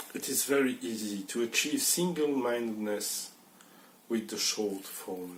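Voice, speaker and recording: Against noticeable background noise, a man speaks at a fairly slow pace, medium in pitch, with ordinary pitch variation. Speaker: Buddhist teacher leading a Zen sangha. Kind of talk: dharma talk / teaching. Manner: conversational, hesitant with some filler words.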